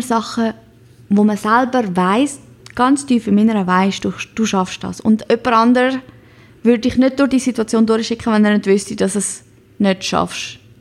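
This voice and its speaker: A woman's normal speaking voice, fairly high in pitch with ordinary variation, at a moderate pace. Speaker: podcast host. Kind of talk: pep talk, motivational monologue. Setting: home. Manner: warm, encouraging, direct address.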